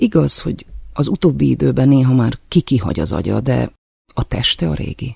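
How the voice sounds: Nothing much stirs behind the speaker. The delivery is a natural reading voice.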